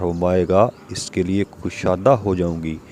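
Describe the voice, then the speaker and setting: Noticeable noise hums in the background. A man talks in a very deep, low pitch. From Pakistan. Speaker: voice over artist. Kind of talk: religious story narration.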